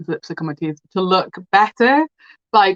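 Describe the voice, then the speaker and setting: A dry, close sound with no echo and ordinary pitch variation. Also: woman. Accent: British. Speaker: beauty vlogger. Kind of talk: casual chat. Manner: loud; animated.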